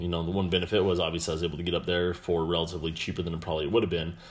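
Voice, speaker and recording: A man talks in a very deep, low voice. Audible room echo surrounds him. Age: 30s. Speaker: podcast host. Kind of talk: casual monologue. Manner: halting, many fillers.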